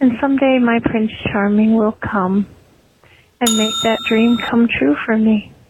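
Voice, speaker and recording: A woman speaks at a fairly slow pace with a fairly high pitch. Her pitch varies in an ordinary way, and there is noticeable background noise. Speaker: listener leaving voicemail. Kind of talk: voicemail message. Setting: phone call.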